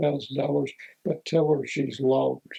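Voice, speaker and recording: With an American accent, a man speaks in a fairly high pitch through a dark, mellow, somewhat breathy tone with ordinary pitch variation. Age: 80s+. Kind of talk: interview answer, storytelling. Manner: relaxed, conversational, anecdotal.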